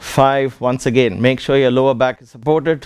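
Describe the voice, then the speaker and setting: Someone with a non-native accent speaks at a fairly slow pace with fairly even intonation. The background is quiet and the sound is dry with no echo. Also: man. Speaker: yoga teacher. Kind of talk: fitness class instruction. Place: gym.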